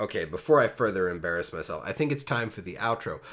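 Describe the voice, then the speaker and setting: A man talks at a very fast pace. He speaks with an American accent. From Pennsylvania, US. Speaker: podcast host. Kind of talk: casual chat.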